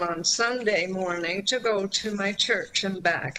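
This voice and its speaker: A woman talks at a very slow pace in a medium pitch with ordinary pitch variation. Noticeable background noise is present. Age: 80s+. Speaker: transit rider deputant. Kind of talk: public deputation. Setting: video call.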